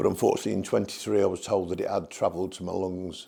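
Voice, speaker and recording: The speaker is a man with a Birmingham accent. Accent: Birmingham (Brummie) English. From English Midlands, Birmingham. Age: 60s. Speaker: cancer patient. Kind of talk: testimony. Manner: halting.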